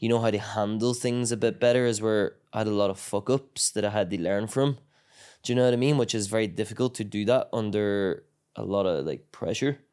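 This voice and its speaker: On a very clean recording with a silent background, a man with a Northern Irish accent talks at a fairly quick pace, his pitch fairly low and his intonation fairly even. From Northern Ireland, County Tyrone. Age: 20s. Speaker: MMA fighter. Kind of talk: casual chat. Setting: training camp in Thailand.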